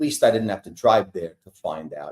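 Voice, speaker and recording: This is a man with a New York accent. He speaks at a moderate pace. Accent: New York accent, noticeable. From New York, Brooklyn. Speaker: entertainer singer for senior communities. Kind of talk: casual interview.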